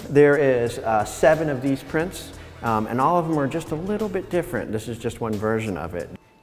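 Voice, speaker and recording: With music in the background, a man speaks at a fairly quick pace. His pitch is fairly high and swings very widely. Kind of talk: interview answer. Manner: hesitant, conversational.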